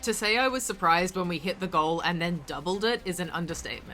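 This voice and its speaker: Over music in the background, a woman with a medium pitch talks at a fairly quick pace. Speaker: craft YouTuber. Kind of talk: tutorial narration. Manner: casual, chatty.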